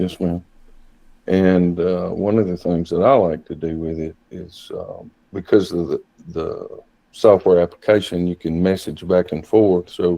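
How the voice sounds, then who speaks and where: A man's very deep, low voice with a dark, mellow tone, in a Southern US accent, at a fairly slow pace, with fairly even intonation and big swings in loudness. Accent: country Southern. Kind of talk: interview. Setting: video call.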